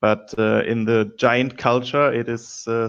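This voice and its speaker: A man speaks with a non-native accent. His intonation is flat and monotone. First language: not English. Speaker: board game player. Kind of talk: casual chat; character backstory telling. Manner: halting.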